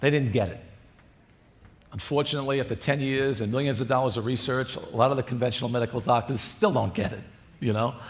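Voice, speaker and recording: Audible room echo surrounds a somewhat breathy man speaking at medium pitch. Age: 60s. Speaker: cardiologist. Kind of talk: conference lecture.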